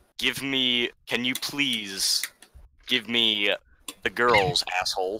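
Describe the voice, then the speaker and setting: A man's medium-pitched put-on character voice at a very slow pace, with long, frequent pauses. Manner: menacing.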